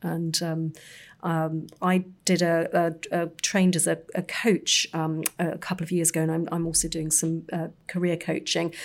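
A woman with a London accent, fairly low in pitch, monotone and flat, at a fairly slow pace. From North London. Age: 50s. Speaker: magazine editor. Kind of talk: casual chat.

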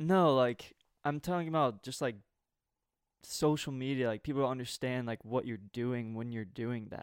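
A man with a normal speaking voice, medium pitch, ordinary pitch variation and moderate pace, on a very clean recording with a silent background. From US South. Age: 20s. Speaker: podcast co-host. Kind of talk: casual chat.

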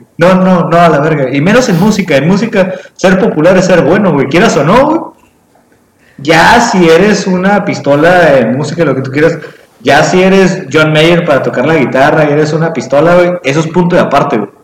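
Heard with audible room echo, a man talks at a moderate pace in a high pitch with ordinary pitch variation. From Mexico. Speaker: podcast co-host. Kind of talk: casual chat. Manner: animated.

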